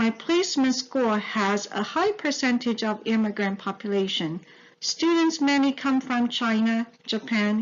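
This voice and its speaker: The speaker talks at a fairly slow pace with a Mandarin accent. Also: woman. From Taiwan. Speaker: teacher-education student. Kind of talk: scripted narration.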